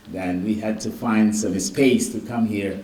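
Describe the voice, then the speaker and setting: Audible room echo surrounds a man's voice. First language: Garifuna. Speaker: physician. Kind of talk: keynote lecture.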